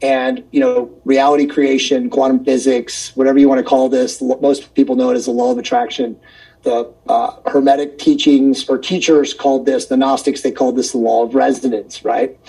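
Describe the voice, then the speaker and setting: Over background music, a man talks at a moderate pace. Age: 50s. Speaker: wellness and consciousness author. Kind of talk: casual chat.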